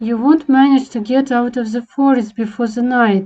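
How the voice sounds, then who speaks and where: A woman's high-pitched, put-on character voice. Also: moderate pace. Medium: machinima. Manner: polite, smooth, coaxing.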